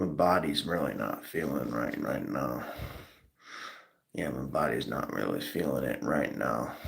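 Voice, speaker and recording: A man speaks at a fairly slow pace with long, frequent pauses and audible room echo. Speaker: live streamer. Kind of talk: casual live stream talk. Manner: repetitive, hesitant.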